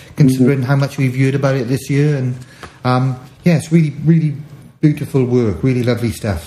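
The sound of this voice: Intonation stays fairly even as the text is read in an unforced reading voice.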